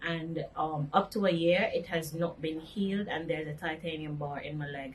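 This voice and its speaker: Noticeable background noise sits behind a woman's voice. She speaks at a fairly low pitch with fairly even intonation. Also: moderate pace. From Jamaica, Montego Bay. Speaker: accident survivor. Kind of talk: interview testimony.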